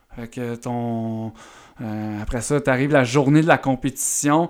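Speaking very slowly with a Quebec accent, a man keeps a medium pitch and fairly even intonation. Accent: Québécois French. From Eastern Townships, Quebec (near Sherbrooke). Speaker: strength and movement coach, former baseball pitcher. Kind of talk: podcast interview. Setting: audio-only podcast, no video.

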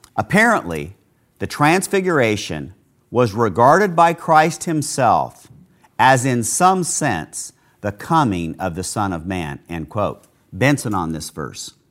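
A man's medium-pitched American accent, fairly slow, with very wide pitch swings and vocal fry. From United States. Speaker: pastor. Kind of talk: sermon.

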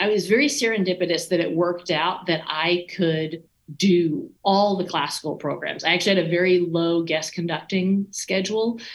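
A woman's ordinary speaking voice with an American accent, medium in pitch, at a moderate pace with ordinary pitch variation. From US South, East Texas. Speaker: orchestra conductor. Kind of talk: casual interview.

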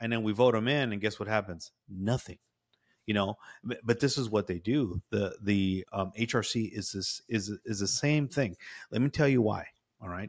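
At a moderate pace, an ordinary speaking voice with an American accent and ordinary pitch variation comes through a dry, close sound with no echo in a very clean recording with a silent background. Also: man, fairly low pitch for a man. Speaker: podcast host. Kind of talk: casual conversational commentary.

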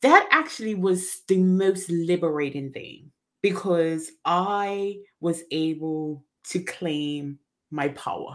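The speech is very slow, with big swings in loudness and ordinary pitch variation. The recording is very clean, with a silent background. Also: woman, fairly low pitch for a woman. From Bermuda. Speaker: mindset coach. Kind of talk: interview.

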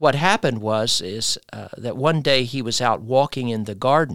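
A man with an American accent and a normal speaking voice talks at medium pitch and moderate pace with ordinary pitch variation, sounding dry and close with no echo on a very clean recording with a silent background. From United States. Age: 60s. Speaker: pastor. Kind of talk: interview.

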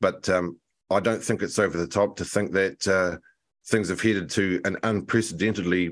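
A man with a New Zealand accent speaks at a moderate pace in a very deep, low voice with fairly even intonation, in a very clean recording with a silent background. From New Zealand, Nelson. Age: 40s. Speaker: political commentator and publisher. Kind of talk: radio interview.

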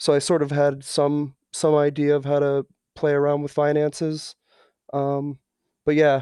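A man with a Midwestern American accent speaks at a fairly high pitch in a dark, mellow tone, his intonation monotone and flat, the sound dry and close with no echo. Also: fairly slow pace. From Ohio. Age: 30s. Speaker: online community moderator. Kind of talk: interview. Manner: hesitant, many fillers.

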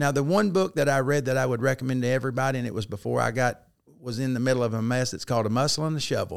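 A man speaks very fast at medium pitch with ordinary pitch variation. The recording is very clean, with a silent background. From Arkansas, US South. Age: 50s. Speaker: former football coach and teacher in recovery. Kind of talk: testimony.

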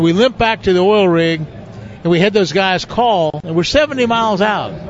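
The speaker barely pauses and holds a very even loudness, with ordinary pitch variation over noticeable background noise. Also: man, high pitch for a man, fairly slow pace. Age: 70s. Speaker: veteran professional bass angler. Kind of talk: casual interview chat. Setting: live show at a fishing tournament event.

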